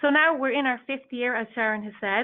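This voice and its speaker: Delivered at a fairly quick pace with ordinary pitch variation, the speech comes in an Irish accent. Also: woman. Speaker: industry association staff presenting a report. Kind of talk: webinar presentation. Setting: online webinar. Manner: halting, with frequent fillers and restarts.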